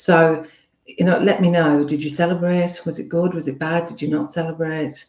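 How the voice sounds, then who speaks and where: A woman speaks in a fairly low pitch. Audible room echo can be heard. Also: moderate pace. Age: 50s. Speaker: relationship coach. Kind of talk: casual chat. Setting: live stream. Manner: chatty, animated.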